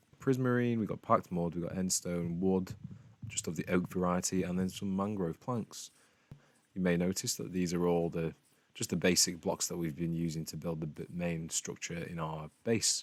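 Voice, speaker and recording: A man's very deep, low-pitched voice at a moderate pace. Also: ordinary pitch variation. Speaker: gaming youtuber. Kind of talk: gameplay commentary. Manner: casual, halting.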